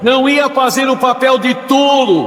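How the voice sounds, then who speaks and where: A man's extremely high-pitched voice with ordinary pitch variation, amid noticeable background noise. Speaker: police crime reporter. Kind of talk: radio crime story narration. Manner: dramatic, tense, repetitive.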